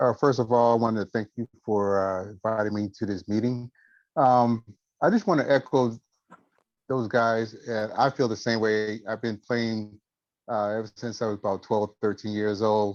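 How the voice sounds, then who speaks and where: A man's medium-pitched voice, an ordinary speaking voice, with fairly even intonation and a moderate pace. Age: 60s. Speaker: military veteran guitarist. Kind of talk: testimony. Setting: video call.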